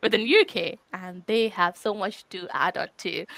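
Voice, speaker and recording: Recorded very cleanly against a silent background, a woman speaks at a medium pitch with an Indian accent. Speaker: quality engineering leader. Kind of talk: conference talk. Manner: halting, many fillers.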